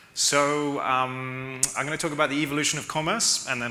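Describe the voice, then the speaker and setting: Noticeable background noise and audible room echo accompany a man speaking in a London accent. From London, England. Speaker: e-commerce consultant. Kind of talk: conference talk. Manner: fast.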